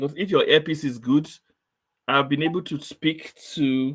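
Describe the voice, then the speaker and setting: The voice belongs to a man. It is pitched fairly high. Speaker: quiz show host. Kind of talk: online session test run. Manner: slow, deliberate.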